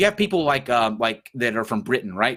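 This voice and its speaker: On a very clean recording with a silent background, a man with a Southern US accent talks at a fairly quick pace in a bright, sharp tone with very wide pitch swings. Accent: Southern US twang. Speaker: podcast host. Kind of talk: casual chat. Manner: halting, many fillers.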